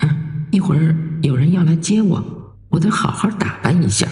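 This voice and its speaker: This is a put-on character voice delivered at a moderate pace. A slight echo can be heard. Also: man, fairly high pitch for a man. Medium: read story. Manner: slow, detached.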